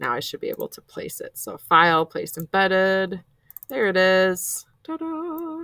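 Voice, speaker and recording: A woman speaks with big swings in loudness. The sound is dry and close, with no echo. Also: fairly slow pace. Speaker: art teacher. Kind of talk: tutorial. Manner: casual, filler-heavy.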